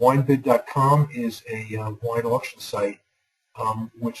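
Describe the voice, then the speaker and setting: A man with a New York accent, his intonation flat and monotone. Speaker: university lecturer. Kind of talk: online lecture. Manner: fast.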